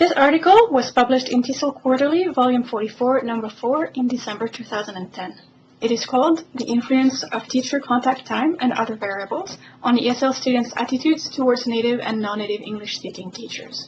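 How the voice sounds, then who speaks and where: Speaking in a French accent, a woman talks at a high pitch and a fairly quick pace with ordinary pitch variation over noticeable background noise. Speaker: professor. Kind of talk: scripted narration. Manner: formal.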